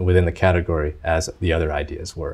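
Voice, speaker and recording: A man speaks at a moderate pace in a somewhat breathy voice against a quiet background. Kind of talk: interview answer. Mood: relaxed, smiling. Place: studio.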